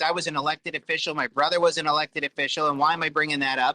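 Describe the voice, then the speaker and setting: The man's voice has a bright, sharp tone, with a dry, close sound and no echo. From New York. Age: 40s. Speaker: self-published author and former elected official. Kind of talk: casual interview chat.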